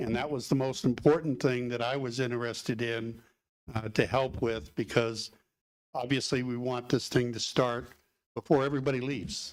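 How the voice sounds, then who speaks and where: A man's medium-pitched voice at a moderate pace, with fairly even intonation. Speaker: construction professional, public commenter. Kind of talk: public board meeting. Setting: meeting room, livestreamed. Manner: loud; halting, many fillers.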